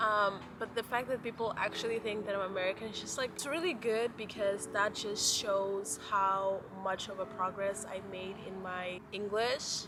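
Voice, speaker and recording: A woman at medium pitch talks at a moderate pace with fairly even intonation and hardly any pauses. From Mozambique. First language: Portuguese. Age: 20s. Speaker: lifestyle vlogger. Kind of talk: casual chat. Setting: outdoors in a park.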